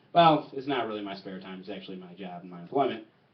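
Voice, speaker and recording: Noticeable background noise beneath a man's lively intonation. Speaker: stand-up comedian. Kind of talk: stand-up. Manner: stuttering today.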